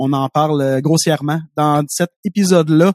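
With a Quebec accent, a man speaks in a dark, mellow tone with ordinary pitch variation, the sound dry and close with no echo. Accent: Québécois French. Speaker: podcast host. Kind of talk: casual chat.

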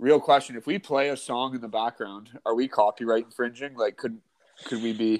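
Using a normal speaking voice, a man talks at a medium pitch and a fairly quick pace with fairly even intonation. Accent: Canadian. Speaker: podcast co-host. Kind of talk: casual chat. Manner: joking banter.

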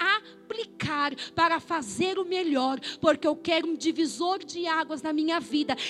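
The tone is passionate and animated, with ordinary pitch variation. Music plays in the background. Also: woman. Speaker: pastor. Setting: church, live congregation. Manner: passionate, emphatic, rising-intensity delivery with rhythmic repetition; colloquial, animated, direct confrontational address to the congregation.

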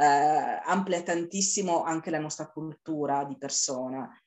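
Fairly even in intonation, this woman's voice sits at a very deep, low pitch. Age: 50s. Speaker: amateur adult dancer. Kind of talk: interview. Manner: halting.

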